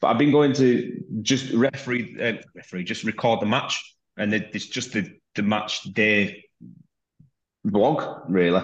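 In a plain, everyday voice, a man speaks at a fairly slow pace with ordinary pitch variation. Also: medium pitch for a man. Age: 30s. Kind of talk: casual interview.

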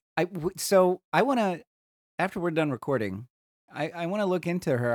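Dry and close with no echo, an unremarkable speaking voice from a man comes at a fairly quick pace, fairly high in pitch with lively intonation. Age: middle-aged. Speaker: podcast co-host, hiker. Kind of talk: casual chat.

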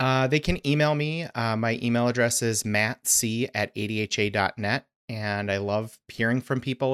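On a very clean recording with a silent background, a man with a plain, everyday voice and an American accent speaks in a medium pitch with fairly even intonation, the sound dry and close with no echo. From Arizona. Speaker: dental hygiene association leader. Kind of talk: interview.

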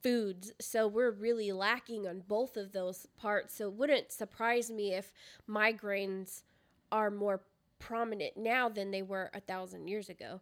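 A woman speaks at a fairly slow pace. Her medium-pitched voice stays monotone, with flat intonation. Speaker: podcast co-host. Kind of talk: casual chat. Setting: recording at a co-host's house.

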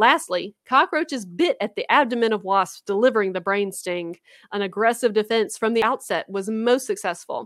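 At a moderate pace, a woman with a Louisiana accent and a fairly high pitch speaks with lively intonation on a very clean recording with a silent background. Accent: Southern US (Louisiana). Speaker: podcast co-host, graduate student scientist. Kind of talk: casual chat. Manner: animated.

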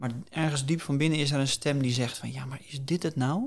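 A man speaks in a somewhat breathy voice. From Netherlands, Hillegom (Bollenstreek, South Holland). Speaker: career coach. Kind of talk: interview.

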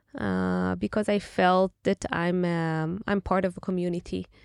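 In an Israeli accent, a woman speaks at a very slow pace, the sound dry and close with no echo. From Israel, Tel Aviv. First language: Hebrew. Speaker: venture capital investor. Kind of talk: interview. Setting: studio.

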